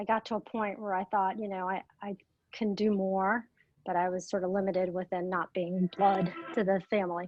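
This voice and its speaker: A woman speaks at a moderate pace and a medium pitch in monotone, flat intonation. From Atlanta area, US South (Russian-born, moved at four). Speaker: real estate agent. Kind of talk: interview.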